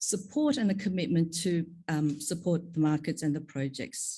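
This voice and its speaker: A somewhat breathy woman's voice in an Australian accent, with lively intonation at a moderate pace. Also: quiet background. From Australia (Sydney), moved from Korea at ten. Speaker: pharma executive, panel speaker. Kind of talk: conference panel talk.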